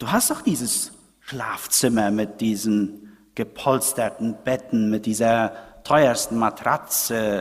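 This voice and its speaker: A man speaks at a very slow pace and medium pitch, his intonation fairly even. The recording is very clean, with a silent background. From Paraguay. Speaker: preacher. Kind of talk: sermon. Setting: church. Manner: didactic, explanatory, moves from history to pointed rhetorical question; earnest, conversational, addressing congregation as 'euch'.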